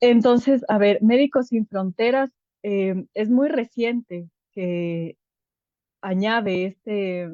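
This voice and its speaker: A woman's dark, mellow tone at a fairly high pitch with ordinary pitch variation, very slow in pace, in a dry, close sound with no echo. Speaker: clinical psychologist with a humanitarian medical NGO. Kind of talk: online workshop lecture. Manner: hesitant fillers.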